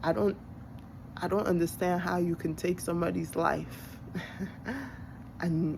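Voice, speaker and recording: With a Nigerian accent, a woman speaks in a fairly low pitch. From born in Nigeria, grew up in the US. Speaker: vlogger. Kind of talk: personal monologue. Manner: halting.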